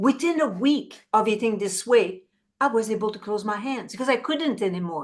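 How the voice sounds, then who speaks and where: At a fairly quick pace, a woman speaks in a fairly high pitch with ordinary pitch variation. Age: 60s. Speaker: plant-based chef, former fashion designer. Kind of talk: interview testimony. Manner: halting, with repetitions.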